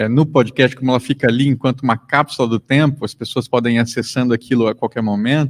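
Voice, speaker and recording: Recorded very cleanly against a silent background, with a dry, close sound and no echo, a man speaks at a medium pitch and a fairly quick pace. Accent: Mato Grosso do Sul. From Mato Grosso do Sul, Brazil. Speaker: podcaster and lecturer. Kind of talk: panel discussion.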